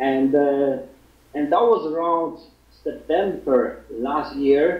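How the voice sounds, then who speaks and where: With a Polish accent and ordinary pitch variation, a man speaks at a very slow pace and fairly high pitch over noticeable background noise and audible room echo. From Poland. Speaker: fitness website founder. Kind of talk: interview. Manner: halting.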